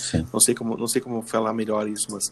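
A man at medium pitch, talking at a very fast pace. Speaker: podcast host. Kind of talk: casual chat.

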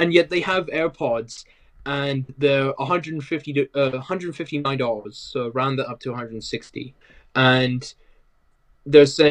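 Speaking with a British accent, a man with a fairly high pitch keeps a moderate pace, with ordinary pitch variation and big swings in loudness. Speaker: tech podcast guest. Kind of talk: casual tech chat.

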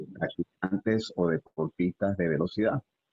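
A man talks with a Venezuelan accent. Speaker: personal trainer. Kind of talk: casual interview.

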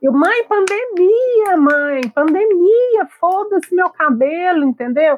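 Her pitch is extremely high, and it swings very widely. The woman goes at a very slow pace with hardly any pauses. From Brazil, interior of Minas Gerais. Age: 40s. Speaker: pharmacist and social media commentator. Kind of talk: casual chat.

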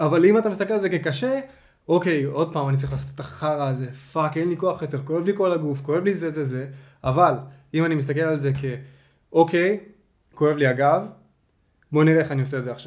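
Speaking at a fairly quick pace with ordinary pitch variation, a man with a fairly high pitch leaves long, frequent pauses. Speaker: podcast host. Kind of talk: casual chat.

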